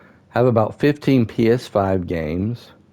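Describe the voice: With a dark, mellow tone and fairly low pitch, a man speaks using lively intonation. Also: fairly slow pace.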